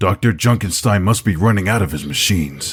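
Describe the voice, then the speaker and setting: A man puts on a growling character voice. It sits fairly low in pitch and moves at a fairly quick pace. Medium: fan dub. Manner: solemn.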